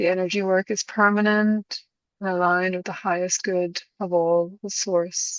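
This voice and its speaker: A woman speaks with an Irish accent in a monotone, flat intonation. The background is quiet. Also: medium pitch for a woman, moderate pace, dry, close sound with no echo. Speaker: spiritual session host. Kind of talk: spiritual intention invocation.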